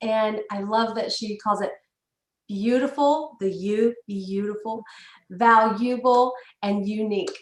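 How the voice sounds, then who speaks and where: A woman's fairly high voice in a Southern US accent, with fairly even intonation. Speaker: webinar host. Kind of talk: event introduction.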